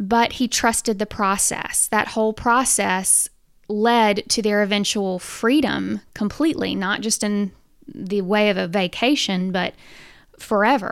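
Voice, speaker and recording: A woman's medium-pitched voice with ordinary pitch variation on a very clean recording with a silent background. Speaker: fitness coach and podcast host. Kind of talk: casual devotional monologue.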